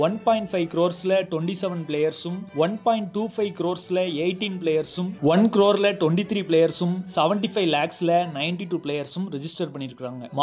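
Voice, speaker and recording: Over music in the background, a man speaks in a high voice with ordinary pitch variation. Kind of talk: casual talk to camera, cricket news update.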